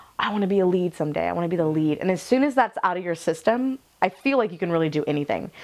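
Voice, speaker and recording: Speaking very fast, a woman uses lively intonation and an animated tone. Her pitch sits fairly low. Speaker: student actor. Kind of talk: interview. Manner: loud.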